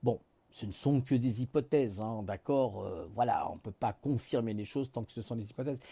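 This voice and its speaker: A man's somewhat breathy, dark, mellow voice at a moderate pace with ordinary pitch variation, on a very clean recording with a silent background. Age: 50s. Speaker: vlogger. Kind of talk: casual monologue. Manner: relaxed; halting.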